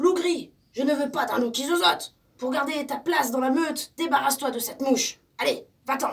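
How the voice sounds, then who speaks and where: A woman puts on a character voice, pitched high. She talks at a moderate pace. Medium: read story. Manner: stern, commanding.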